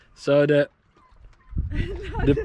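Male speech with dry, echo-free sound and a little background noise. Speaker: sailing family vlogger. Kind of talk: casual vlog chat. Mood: cheerful, storytelling. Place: boat. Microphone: phone near.

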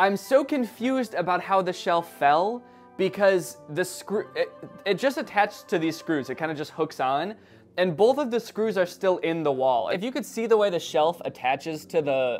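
Faint music plays in the background as the speaker keeps a moderate pace. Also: man. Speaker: vlogger. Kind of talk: casual vlog chat. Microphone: phone near.

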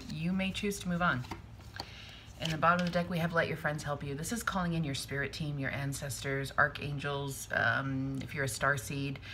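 Against light background noise, a woman with a very deep, low pitch speaks at a moderate pace in a bright, sharp tone with fairly even intonation. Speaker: tarot reader. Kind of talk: tarot reading commentary. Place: home room. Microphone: phone near.

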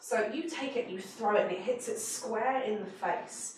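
A woman speaks at a moderate pace and medium pitch with ordinary pitch variation, and audible room echo surrounds her.

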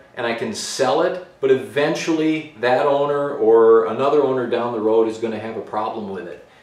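A man's voice carries audible room echo. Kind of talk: casual vlog chat. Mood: earnest, reflective. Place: garage.

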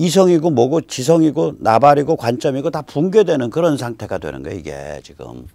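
Over a quiet background, a man with a dark, mellow tone and vocal fry speaks. His pace is moderate and his intonation lively. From South Korea. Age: 60s. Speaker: political commentator. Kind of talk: lecture. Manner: animated. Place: studio. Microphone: lapel.

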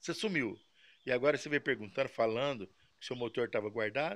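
A man with a bright, sharp tone talks at a fairly quick pace. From Brazil. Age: 60s. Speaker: model engine mechanic. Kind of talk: casual video talk answering viewers. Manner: halting, repeats words. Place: workshop.

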